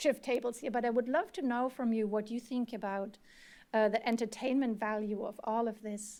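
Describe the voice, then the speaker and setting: Speaking in a German accent, a woman uses a fairly high pitch with a dark, mellow tone. Her pace is moderate and her intonation fairly even, in a very clean recording with a silent background. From Germany. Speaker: researcher and former journalist. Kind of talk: panel discussion.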